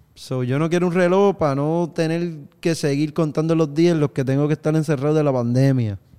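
An ordinary speaking voice moves at a moderate pace with ordinary pitch variation, captured in a very clean recording with a silent background. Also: man. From Puerto Rico, countryside. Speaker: musician. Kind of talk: casual chat.

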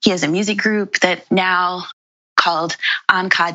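A woman with an American accent, an ordinary speaking voice, ordinary pitch variation and a moderate pace. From New York, Brooklyn. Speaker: landscape architect and urban planner. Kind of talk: interview.

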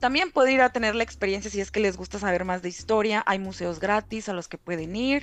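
A woman speaks in a normal speaking voice at a fairly quick pace, her medium pitch moving with ordinary variation. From Mexico, Reynosa, Tamaulipas. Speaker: content moderator. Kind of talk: casual chat.

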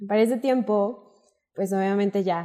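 Speaking at a fairly slow pace, a woman uses a medium pitch and a dark, mellow tone. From northern Mexico, Coahuila. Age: 20s. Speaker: wine content creator. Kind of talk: interview.

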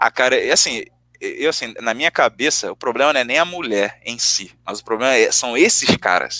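Dry, close sound with no echo, from a man speaking at a moderate pace. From Rio de Janeiro, Brazil. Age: 20s. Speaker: podcast guest. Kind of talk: casual chat.

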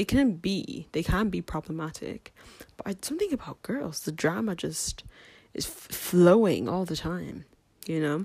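Fairly low and somewhat breathy, a woman's dark, mellow voice moves at a moderate pace. Her intonation is lively, and the recording is very clean, with a silent background. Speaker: podcaster. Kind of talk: casual chat. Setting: at home. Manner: rambling, chatty.

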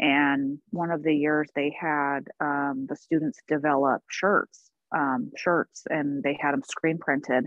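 An American-accented woman with a very deep, low voice speaks very slowly with fairly even intonation and hardly any pauses. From US Pacific Northwest, Portland. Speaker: nonprofit health worker, marathon runner. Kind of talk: personal testimony in interview.

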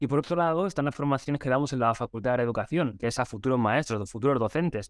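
A man speaks very fast against a quiet background. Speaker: teacher trainer. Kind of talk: casual interview.

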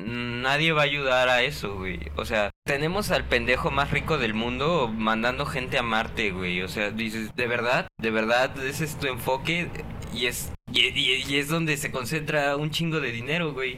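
Audible room echo and noticeable background noise surround a man's medium-pitched voice. He talks at a fairly slow pace with lively intonation and hardly any pauses. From Guadalajara, Jalisco, Mexico. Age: 20s. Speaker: podcast co-host. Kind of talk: casual chat.

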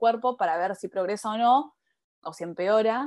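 A woman with an unremarkable speaking voice talks at a fairly high pitch with ordinary pitch variation, in a dry, close sound with no echo. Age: 20s. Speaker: spiritual coach. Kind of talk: casual interview.

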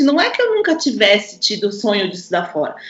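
Very wide pitch swings from a woman, with audible room echo. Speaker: violinist and mother. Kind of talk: casual chat.

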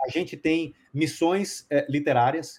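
Male speech, somewhat breathy, with ordinary pitch movement. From Brazil, Bahia (Salvador). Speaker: publishing company founder. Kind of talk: interview.

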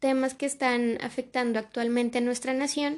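A woman with a high pitch. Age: 20s. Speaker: student podcast host. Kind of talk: casual conversational podcast intro. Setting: sitting next to her father. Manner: halting, frequent repetitions.

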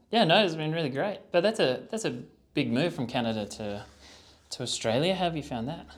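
A man speaks at a fairly quick pace with vocal fry, a fairly high pitch, and very wide pitch swings. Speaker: podcast host. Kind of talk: interview conversation.

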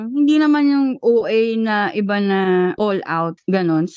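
Lively intonation marks this woman's fairly high-pitched delivery in an ordinary speaking voice. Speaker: podcast co-host. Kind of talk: casual chat.

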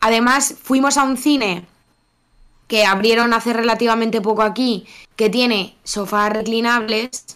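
In a plain, everyday voice, a woman speaks fairly slowly at a fairly high pitch with fairly even intonation. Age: 30s. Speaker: podcast co-host. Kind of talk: casual chat.

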